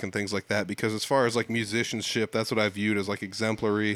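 A man speaks with an American accent at a very fast pace. His pitch is fairly low. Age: 30s. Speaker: podcast host. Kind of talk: casual interview chat. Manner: casual, conversational.

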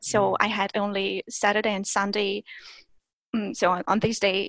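A fairly slow pace in a Russian accent, with a dry, close sound and no echo. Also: woman. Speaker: language teacher and content creator. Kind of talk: interview.

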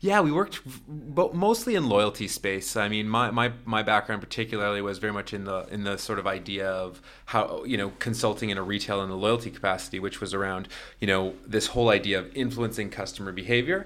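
A man with a Canadian accent has a normal speaking voice at a fairly low pitch. He moves at a fairly quick pace with ordinary pitch variation and hardly any pauses. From Toronto, Canada. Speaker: startup founder. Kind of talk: casual interview.

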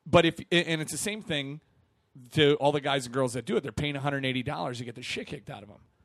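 A man with an American accent and a plain, everyday voice, fairly high in pitch, quick-paced, with ordinary pitch variation and big swings in loudness. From Milwaukee, Wisconsin. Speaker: comedian and event MC. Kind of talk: casual chat.

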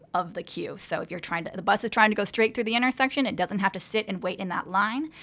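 Her accent is American. The woman's pitch shows ordinary variation. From US West Coast. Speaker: transit advocacy program manager. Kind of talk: interview. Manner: hesitant, frequent fillers.

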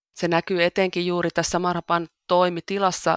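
A woman's fairly slow, fairly low-pitched speech in a dry, close sound with no echo. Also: very clean recording, silent background. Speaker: church volunteer. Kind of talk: interview. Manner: halting, with repeated words.

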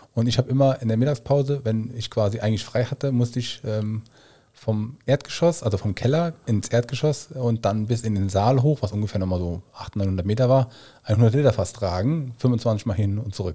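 On a very clean recording with a silent background, a man at medium pitch speaks at a moderate pace with a dark, mellow tone, a somewhat breathy quality and ordinary pitch variation. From Koblenz / Westerwald area, Rhineland-Palatinate. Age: 30s. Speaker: nutrition consultant and trained chef. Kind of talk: casual podcast interview.

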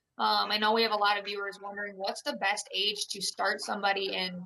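Speaking with a Midwestern American accent, a woman uses vocal fry at a medium pitch and a moderate pace. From Iowa, small town. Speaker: retail store employee and hunter. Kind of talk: interview questions in casual chat. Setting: video call.

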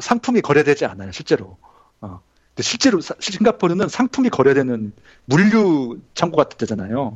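Vocal fry at a moderate pace, with very wide pitch swings and big shifts in loudness. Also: man, fairly high pitch for a man. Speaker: graduate student and former IT journalist. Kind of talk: casual interview chat.

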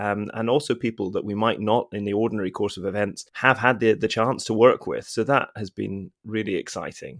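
A man's fairly low voice, a normal speaking voice at a fairly quick pace, on a very clean recording with a silent background. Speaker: ensemble director and podcast host. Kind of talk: casual interview chat.

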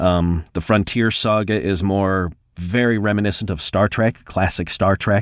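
On a very clean recording with a silent background and a dry, close sound with no echo, a man speaks fairly slowly at a fairly low pitch in an ordinary speaking voice. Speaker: voiceover artist and audiobook narrator. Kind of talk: casual interview.

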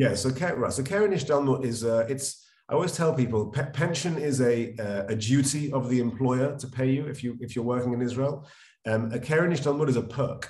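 In a London accent, a man speaks fairly quickly in a somewhat breathy voice with ordinary pitch variation, and audible room echo can be heard. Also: medium pitch for a man. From London, England. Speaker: financial advisor. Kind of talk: interview. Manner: conversational with fillers.

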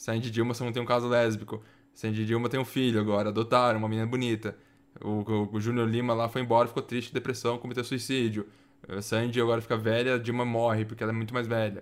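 A man at medium pitch and a very fast pace, on a very clean recording with a silent background. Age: 20s. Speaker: gaming podcast host. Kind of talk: casual chat. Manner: animated.

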